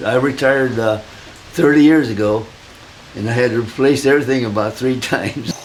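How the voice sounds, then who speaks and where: A man speaks with a Midwestern American accent. Noticeable background noise runs behind him. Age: 80s+. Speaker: retired hobby woodworker. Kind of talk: interview answer, shop tour.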